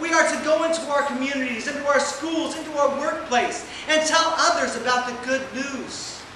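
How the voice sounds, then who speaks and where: Over noticeable background noise and audible room echo, a man speaks in a raised, projected voice at an extremely high pitch, a moderate pace and fairly even intonation, with hardly any pauses. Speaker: preacher delivering a lesson. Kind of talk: sermon. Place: hall.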